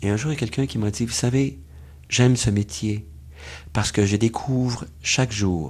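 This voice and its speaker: A man speaks at a moderate pace, somewhat breathy. His intonation is lively. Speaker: doctor and author. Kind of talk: interview.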